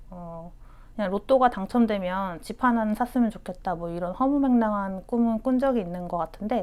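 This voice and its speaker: A woman is speaking. Her intonation is lively. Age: 30s. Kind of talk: interview answer.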